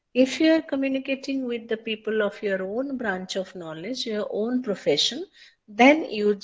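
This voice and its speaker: Against a quiet background, a woman with an Odia accent talks at a moderate pace in a high pitch. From India, Odisha. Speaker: lecturer. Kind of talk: lecture.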